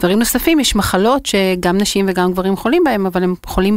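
A woman talks fairly quickly at a medium pitch that varies in an ordinary way. Background noise is noticeable throughout. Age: 40s. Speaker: startup founder and CEO. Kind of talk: interview.

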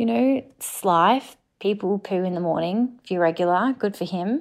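An ordinary speaking voice at a moderate pace, with ordinary pitch variation. The recording is very clean, with a silent background. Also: woman. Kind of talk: voice note story.

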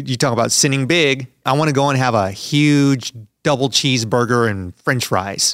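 This man has an unremarkable speaking voice at a medium pitch and moderate pace. His loudness stays very even, and his pitch varies in an ordinary way. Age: 40s. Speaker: podcast host. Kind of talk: casual interview.

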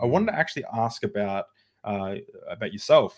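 In an Australian accent, a man talks fairly quickly at a fairly low pitch. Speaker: podcast host. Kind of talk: casual chat. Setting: video call.

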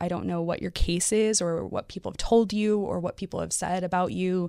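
A woman with a normal speaking voice talks at a moderate pace, her pitch fairly low and her intonation lively. The recording is very clean, with a silent background. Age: 30s. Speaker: former foster youth and advocate with a PhD. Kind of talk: interview. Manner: laughs often.

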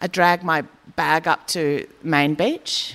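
With an Australian accent, a woman speaks at a fairly low pitch with ordinary pitch variation. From rural Queensland, Australia. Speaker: comedian and writer. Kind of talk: live onstage conversation. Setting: community hall with live audience.

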